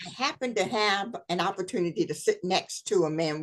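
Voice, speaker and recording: Fairly slow and fairly low in pitch, a woman speaks in a plain, everyday voice with lively intonation. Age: 60s. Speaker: historian and speaker. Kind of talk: interview chat.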